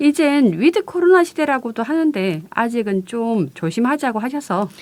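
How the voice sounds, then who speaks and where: With a strong Gyeongsang accent, a woman of high pitch talks at a moderate pace, her voice making very wide pitch swings. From Busan, South Korea. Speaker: community radio co-host, culture news. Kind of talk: radio chat.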